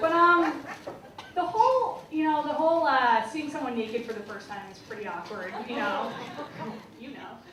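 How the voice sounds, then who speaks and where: Speaking at a moderate pace with a high pitch, a woman makes very wide pitch swings and big swings in loudness, leaving long, frequent pauses amid audible room echo and noticeable background noise. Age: young. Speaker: stand-up comedian. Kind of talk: stand-up. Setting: stage with audience.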